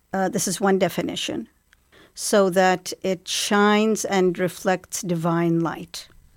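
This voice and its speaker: Someone with an Arabic accent speaks at a very slow pace with ordinary pitch variation on a very clean recording with a silent background. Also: woman, medium pitch for a woman. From Iraq (Baghdad), born in England. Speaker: Arabic language lecturer. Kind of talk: interview. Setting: studio. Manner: hesitant, with frequent fillers.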